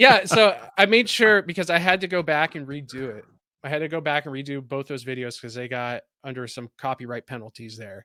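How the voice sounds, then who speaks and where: A man with a Californian accent talks fairly quickly at a fairly high pitch, in a bright, sharp tone. The sound is dry and close with no echo, on a very clean recording with a silent background. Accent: California. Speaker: content creator and writer. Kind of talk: casual interview chat. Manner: animated.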